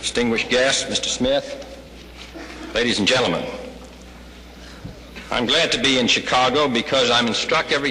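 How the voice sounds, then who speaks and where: A man's voice comes through over noticeable background noise. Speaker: president of the United States. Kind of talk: after-lunch civic address. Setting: hotel ballroom.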